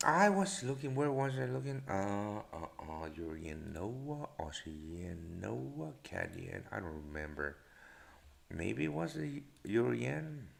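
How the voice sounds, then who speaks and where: A man speaking very slowly, with very wide pitch swings and audible room echo. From Latin America. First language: Spanish. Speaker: forex trader and live show host. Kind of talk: live stream market commentary. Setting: live stream. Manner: halting, many fillers.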